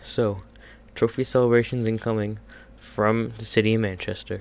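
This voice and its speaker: Quiet and monotone with flat intonation, the voice keeps a moderate pace. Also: man. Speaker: gaming youtuber. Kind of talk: gameplay commentary. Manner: hesitant, many fillers.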